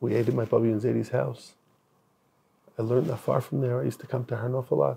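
A man at medium pitch talks at a very fast pace with a dark, mellow tone, vocal fry and ordinary pitch variation, breaking it up with long, frequent pauses. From Israel. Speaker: rabbi; interviewee. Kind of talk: casual chat. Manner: halting. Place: studio.

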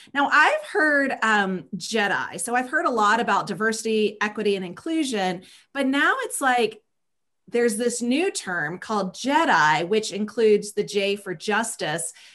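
Over a quiet background, the voice has a bright, sharp tone and lively intonation at a fairly slow pace. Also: woman. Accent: slight Southern US. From US South. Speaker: talk show co-host and nonprofit consultant. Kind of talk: livestream interview show. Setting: video call. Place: home room. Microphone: video call.

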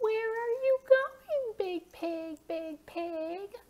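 A woman's cartoonish character voice, extremely high-pitched and very slow. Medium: puppet.

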